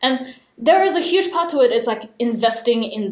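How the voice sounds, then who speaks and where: A woman speaks at a moderate pace with lively intonation. Noticeable background noise can be heard. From Australia, Sydney. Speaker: VR product designer. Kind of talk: casual interview chat.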